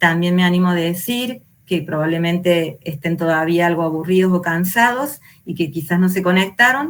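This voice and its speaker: A woman with a plain, everyday voice speaks at a moderate pace in a fairly low pitch, with ordinary pitch variation. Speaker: teacher trainer. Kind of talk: online lecture.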